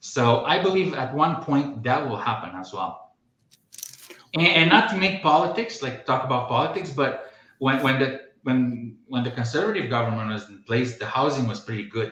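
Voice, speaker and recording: With a Romanian accent, a man at a medium pitch talks at a moderate pace with lively intonation. His loudness varies greatly, and the room echo is audible. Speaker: podcast host. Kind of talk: casual chat. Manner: halting.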